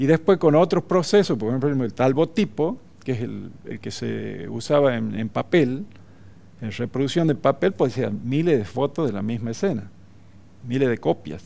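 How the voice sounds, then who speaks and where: A man speaks at a medium pitch with a dark, mellow tone and vocal fry. His intonation is lively and his pace moderate. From northern Salta, Argentina. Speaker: photographer; interviewee. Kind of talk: TV interview; interview answer. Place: studio. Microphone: headset.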